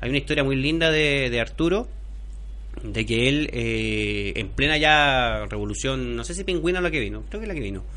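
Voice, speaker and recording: A man with a Chilean accent at a moderate pace, amid noticeable background noise and audible room echo. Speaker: sports journalist and author. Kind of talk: casual chat. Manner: halting.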